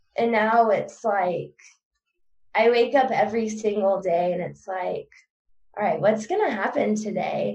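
A woman with a fairly high pitch and vocal fry speaks fairly slowly, with ordinary pitch variation. Her speech has long, frequent pauses. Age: 20s. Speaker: suicide attempt survivor. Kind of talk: personal testimony interview. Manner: halting.

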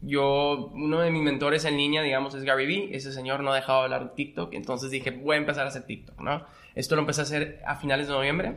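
Hardly pausing, a man rushes along at a very fast pace in a monotone, flat intonation. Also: fairly high pitch for a man. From Monterrey, northern Mexico. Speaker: magician and entrepreneur. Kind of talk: casual interview.

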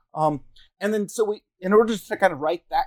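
The speaker has an American accent and a fairly quick pace. The sound is dry and close, with no echo. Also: man. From Northern California, Round Valley Reservation. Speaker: historian and professor. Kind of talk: interview. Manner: halting, many fillers and repeats.

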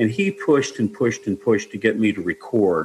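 The speaker talks fairly quickly with ordinary pitch movement while noticeable background noise carries on. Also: man. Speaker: singer-songwriter. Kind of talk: interview.

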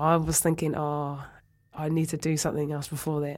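A woman's very deep, low pitch at a fairly quick pace, in a very clean recording with a silent background. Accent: New Zealand. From New Zealand, Oamaru. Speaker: rugby presenter and former player. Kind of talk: interview. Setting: studio. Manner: hesitant, many fillers.

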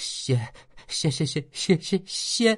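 A shaky, put-on character voice sits at a middle pitch. It stays in that act throughout. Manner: trembling, frightened.

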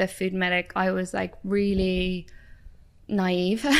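In a very clean recording with a silent background, a woman at a medium pitch speaks at a very slow pace. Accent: Irish. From Ireland. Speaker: doctor and nutritionist. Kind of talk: casual chat. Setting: in-store recording studio.

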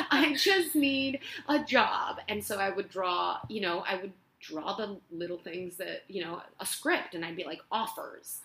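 Noticeable background noise sits under a woman's medium-pitched voice. She talks at a fairly slow pace with very wide pitch swings. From Spain, Barcelona. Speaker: actress. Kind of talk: casual chat. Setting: at home.

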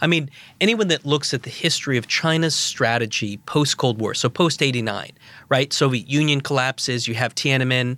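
A bright, sharp tone with an American accent, ordinary pitch variation, a fairly quick pace, and a very clean recording with a silent background. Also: man, medium pitch for a man. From US Northeast, Providence, Rhode Island. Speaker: professor and former national security official. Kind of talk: expert interview.

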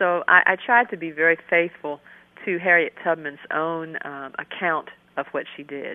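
A woman with an American accent uses a normal speaking voice at a fairly low pitch, with big swings in loudness. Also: ordinary pitch variation, moderate pace. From US, Maryland. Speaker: children's book author and professor. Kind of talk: radio interview. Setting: phone call.

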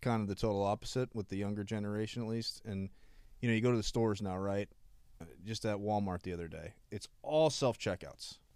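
A man with a plain, everyday voice, fairly low pitch, fairly quick pace, and fairly even intonation, in a very clean recording with a silent background. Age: 30s. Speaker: podcast co-host. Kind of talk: casual chat.

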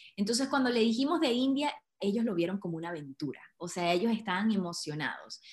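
A woman's somewhat breathy, animated voice at medium pitch, with very wide pitch swings and a very fast pace. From Venezuela, Andes (Trujillo). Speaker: entrepreneur, women's network founder. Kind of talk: casual interview chat.

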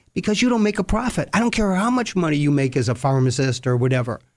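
A man speaks with very wide pitch swings in a somewhat breathy voice. The recording is very clean, with a silent background. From US, Sicilian immigrant family. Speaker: retired bankruptcy judge. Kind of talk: interview.

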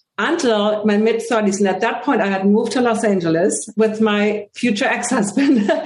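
At a moderate pace, a woman with a German accent speaks at a fairly high pitch with ordinary pitch variation. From Germany, Hamburg. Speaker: holistic vision coach and speaker. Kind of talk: interview.

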